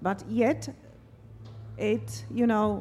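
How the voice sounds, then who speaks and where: Here a woman speaks with a Slovak accent. Her pace is very slow. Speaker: interviewer. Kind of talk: interview. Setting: stage with audience.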